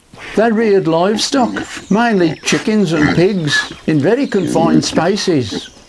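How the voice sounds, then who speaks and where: A man's pitch swings very widely as he talks at a moderate speed over noticeable background noise. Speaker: barbecue cooking youtuber. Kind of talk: cookery demonstration and history talk.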